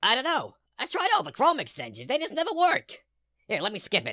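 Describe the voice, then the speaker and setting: A cartoonish character voice sits at a high pitch. It moves at a fairly quick pace. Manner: deadpan.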